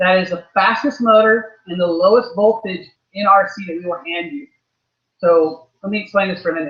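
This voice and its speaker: The speaker talks at a fairly quick pace with ordinary pitch variation. The loudness swings widely. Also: man. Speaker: RC racing team manager giving a clinic. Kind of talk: workshop clinic. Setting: race track with live audience. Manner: fast.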